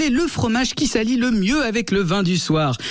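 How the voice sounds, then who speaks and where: The speaker has an animated tone and lively intonation at a fairly quick pace. Background noise is noticeable. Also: man. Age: 30s. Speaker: radio humor columnist. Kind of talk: scripted comic radio segment.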